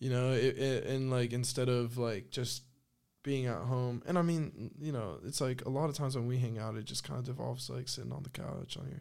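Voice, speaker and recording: This man has an unremarkable speaking voice with an American accent. He talks at a moderate pace and medium pitch, with ordinary pitch variation. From northern US. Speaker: skate videographer and content creator. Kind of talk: casual chat. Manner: casual, filler-heavy.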